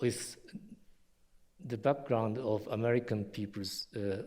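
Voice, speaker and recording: In a Japanese accent, the speaker talks at a fairly slow pace with a dark, mellow tone. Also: man. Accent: non-native English, Japanese. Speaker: historian and university vice president. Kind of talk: lecture. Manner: halting, many fillers.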